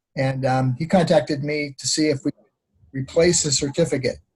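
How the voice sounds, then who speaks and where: Speaking with an American accent, a man's voice sounds somewhat breathy. He goes at a fairly quick pace in a monotone, flat intonation. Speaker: online course instructor. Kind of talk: virtual graduation ceremony. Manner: hesitant, many fillers.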